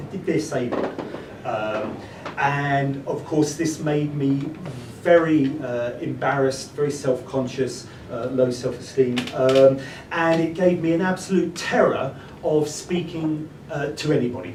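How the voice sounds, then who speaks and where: Amid noticeable background noise and audible room echo, a man with an English accent and fairly high pitch speaks at a fairly slow pace with ordinary pitch variation. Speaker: speaker. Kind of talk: talk to an audience. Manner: halting.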